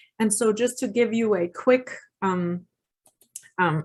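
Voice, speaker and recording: Speaking very slowly, a woman with a fairly high pitch uses ordinary pitch variation. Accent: German. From Germany. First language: German. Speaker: parenting educator. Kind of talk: workshop presentation. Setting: video call webinar. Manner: halting, many fillers.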